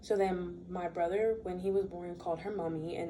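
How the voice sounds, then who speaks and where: Behind a woman's voice there is noticeable background noise, and the room echoes audibly. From US, raised in a Bermudian household. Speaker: student. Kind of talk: class speech. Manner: casual.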